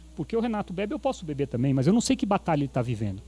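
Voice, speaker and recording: A man speaks in a dark, mellow tone with very wide pitch swings. The recording is very clean, the background silent. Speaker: preacher. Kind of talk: sermon. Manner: animated.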